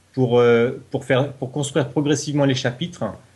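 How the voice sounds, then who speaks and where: The man's voice sits at a medium pitch. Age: 40s. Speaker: novelist, reality show contestant. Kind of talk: interview. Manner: hesitant, with fillers.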